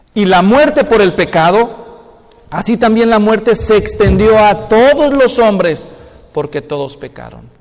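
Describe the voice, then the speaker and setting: A man speaks at a fairly slow pace with a Mexican accent. His voice is high-pitched and his intonation lively. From Mexico, Guadalajara; Jalisco, Mexico. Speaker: pastor. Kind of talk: sermon. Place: church.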